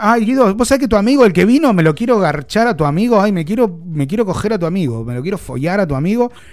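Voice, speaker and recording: With a Rioplatense accent, a man speaks very fast in an animated tone, his pitch swinging very widely. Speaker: radio host. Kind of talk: comedy radio chat. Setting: radio studio.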